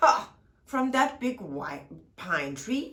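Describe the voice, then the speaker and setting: Someone performs a put-on character voice at a high pitch. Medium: read story.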